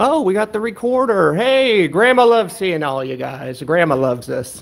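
A man puts on a character voice, high-pitched with vocal fry. He speaks at a fairly slow pace with lively intonation.

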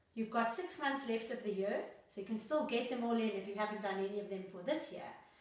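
Amid audible room echo, a woman speaks at a fairly quick pace with a fairly high pitch and lively intonation. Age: 40s. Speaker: lifestyle vlogger. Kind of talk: tutorial. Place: home room.

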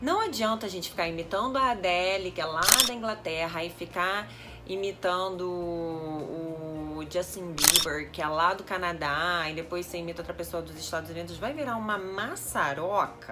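Loud background noise behind a woman's moderately paced speech. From Brazil. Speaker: English teacher. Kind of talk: casual language lesson to camera. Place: home room. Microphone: phone near.

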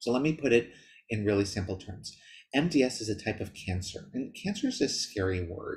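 A man speaks with lively intonation and a somewhat breathy voice against a quiet background. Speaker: presenter. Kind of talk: lecture. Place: home room. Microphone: webcam.

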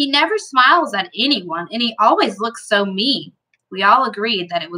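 With lively intonation, a passage is read aloud in a natural voice over a quiet background.

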